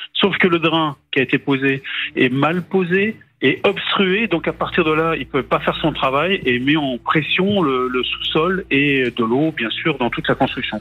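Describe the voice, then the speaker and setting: A fairly slow, fairly high-pitched male voice with ordinary pitch variation. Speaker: journalist. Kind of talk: storytelling. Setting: phone call. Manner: halting.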